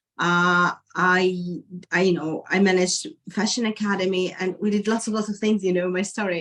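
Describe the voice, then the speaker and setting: A woman talks in a monotone, flat intonation, keeping to a moderate pace. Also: medium pitch for a woman. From Ukraine (Kharkiv). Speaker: lecturer, refugee. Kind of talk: interview testimony. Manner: halting, with fillers and restarts.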